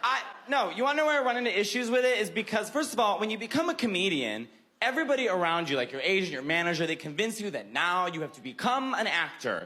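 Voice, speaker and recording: In a raised, projected voice, a man talks at a very fast pace with a high pitch, a bright, sharp tone and very wide pitch swings, with room echo audible. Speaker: comedian. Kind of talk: stand-up.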